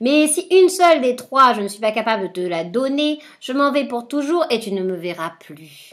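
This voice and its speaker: In a put-on character voice, a woman sounds shrill and high-pitched, with very wide pitch swings at a moderate pace on a very clean recording with a silent background. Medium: read story. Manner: sneering, mocking.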